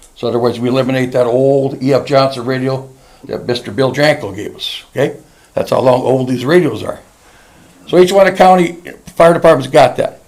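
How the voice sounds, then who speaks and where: A man at medium pitch, fairly quick in pace, with ordinary pitch variation and noticeable background noise. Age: 70s. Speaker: county emergency manager and small-town mayor. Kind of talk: council meeting presentation. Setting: council meeting room with podium mic. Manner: halting.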